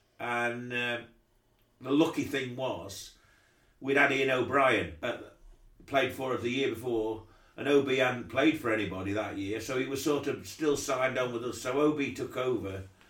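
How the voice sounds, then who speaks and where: Moderate pace and ordinary pitch variation in an East Midlands accent. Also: man, medium pitch for a man. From Derbyshire, England. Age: 60s. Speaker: cricket club chairman. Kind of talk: interview. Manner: halting.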